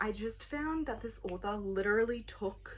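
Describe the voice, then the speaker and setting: A woman speaks in a somewhat breathy voice at a fairly high pitch. Her pace is moderate. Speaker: book vlogger. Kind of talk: casual chat.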